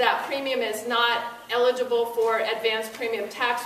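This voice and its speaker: There is noticeable background noise and audible room echo as a woman talks at a moderate pace in a high, monotone voice with flat intonation. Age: 60s. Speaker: insurance expert speaker at public forum. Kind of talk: informational presentation.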